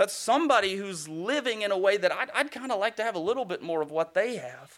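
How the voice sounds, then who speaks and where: Speaking at a fairly quick pace, this voice carries a Southern US accent. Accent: Southern American. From US South. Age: young. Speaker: guest preacher. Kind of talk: sermon. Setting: church.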